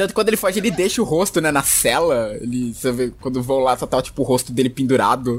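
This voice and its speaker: Over noticeable background noise, a man with a medium pitch talks at a very fast pace with hardly any pauses. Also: lively intonation. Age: 20s. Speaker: podcast co-host. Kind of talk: casual chat.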